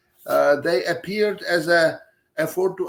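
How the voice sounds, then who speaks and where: A man with a Czech accent, fairly high in pitch, with fairly even intonation. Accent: Czech, clearly audible. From Czech Republic. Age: 70s. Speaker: professor. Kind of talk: lecture. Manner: halting, many filler sounds.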